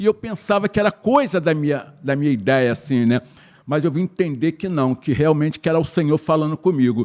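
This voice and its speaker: On a very clean recording with a silent background and a dry, close sound with no echo, a man with a fairly high pitch speaks in a normal speaking voice. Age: 60s. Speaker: church member, course participant. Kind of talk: testimony.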